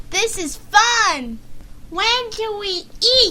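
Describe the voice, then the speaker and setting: A put-on character voice, squeaky and extremely high in pitch. Light background noise sits underneath. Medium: read story. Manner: lively, bright.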